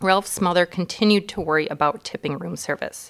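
At a moderate pace, a woman with a normal speaking voice talks at a fairly low pitch with ordinary pitch variation. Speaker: elementary school staff member. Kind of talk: reading aloud.

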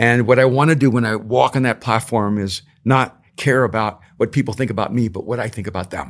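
The speaker has an ordinary speaking voice, moving at a fairly quick pace with fairly even intonation. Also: man, medium pitch for a man. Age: 60s. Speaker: author and speaker.

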